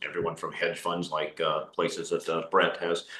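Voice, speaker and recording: Noticeable background noise fills this clip. Over it, a man talks with an American accent. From Kansas. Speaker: quantitative investment strategist. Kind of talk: webinar presentation. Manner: many filler words (uh, um).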